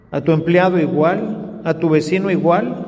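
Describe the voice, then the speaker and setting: A man's high-pitched voice amid noticeable background noise and audible room echo. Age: 60s. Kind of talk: sermon. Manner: conversational.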